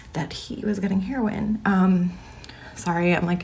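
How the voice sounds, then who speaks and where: A woman's voice at a moderate pace with fairly even intonation, over noticeable background noise. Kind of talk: casual. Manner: hesitant, many fillers.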